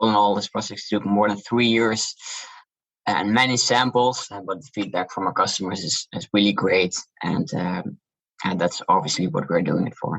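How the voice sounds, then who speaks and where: Spoken in a Dutch accent, the voice moves at a moderate pace with ordinary pitch variation. Loudness swings widely. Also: man, fairly low pitch for a man. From Netherlands. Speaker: shoe brand founder. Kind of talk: interview.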